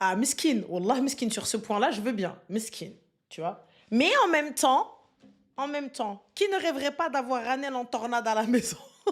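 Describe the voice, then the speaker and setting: Speaking fairly slowly, a woman uses a high voice and lively intonation. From Moroccan and Senegalese heritage. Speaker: streamer. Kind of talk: live stream chat, reading viewer comments. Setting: live stream. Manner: loud; animated.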